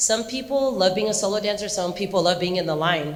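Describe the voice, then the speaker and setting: Audible room echo surrounds a woman speaking with an American accent at a medium pitch. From Southern California, Anaheim. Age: 40s. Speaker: dance choreographer and teacher. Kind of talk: talk to students with Q&A. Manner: animated.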